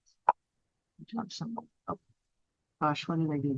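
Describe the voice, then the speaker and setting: Lively intonation in a dry, close recording with no echo. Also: woman. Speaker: neurologist and brain researcher. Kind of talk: lecture. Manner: fast.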